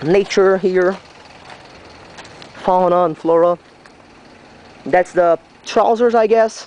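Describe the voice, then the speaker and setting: A voice with a Brazilian accent against noticeable background noise. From Brazil, Santa Catarina. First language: Portuguese. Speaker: railway enthusiast vlogger. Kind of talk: walkthrough video narration. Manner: halting, hesitant.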